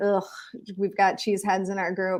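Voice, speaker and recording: In a very clean recording with a silent background, the speaker talks with a Minnesotan accent. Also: woman. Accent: Minnesotan, noticeable. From Minnesota, rural small town. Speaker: real estate broker. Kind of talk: interview conversation.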